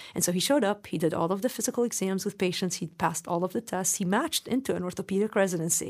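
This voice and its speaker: A woman talks at a very fast pace with hardly any pauses and ordinary pitch variation. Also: medium pitch for a woman. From Lebanon, moved to US at 15. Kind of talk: interview.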